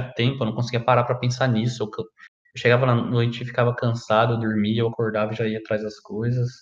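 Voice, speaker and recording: Somewhat breathy, medium pitch, moderate pace, from a man. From Brazil, Paraná (Maringá area). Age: 20s. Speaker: podcaster. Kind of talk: personal monologue. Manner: casual, halting.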